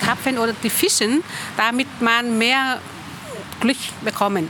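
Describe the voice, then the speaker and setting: A woman's fairly high voice with ordinary pitch variation at a very slow pace, over noticeable background noise. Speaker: community member. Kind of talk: panel talk. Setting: stage with audience.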